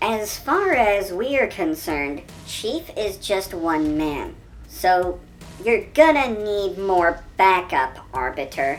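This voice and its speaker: A female-sounding voice in a put-on character voice speaks very slowly at a medium pitch, with clear background noise. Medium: solo performance. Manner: brisk, confident.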